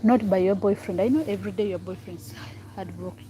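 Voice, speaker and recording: A woman speaks with a Ugandan accent. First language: Ugandan local language. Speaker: vlogger. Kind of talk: casual vlog chat. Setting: outdoors by the road. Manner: halting, repetitive.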